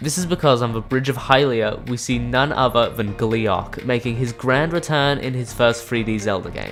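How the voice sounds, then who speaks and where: Music plays in the background as a man speaks at a medium pitch with hardly any pauses. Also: ordinary pitch variation, moderate pace. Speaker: gaming video creator. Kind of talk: scripted video essay narration. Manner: excited.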